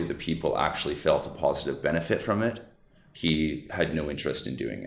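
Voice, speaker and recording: In a passionate tone with vocal fry, a man speaks at a fairly quick pace and a very deep, low pitch with ordinary pitch variation. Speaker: supplement company COO. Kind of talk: podcast interview answer.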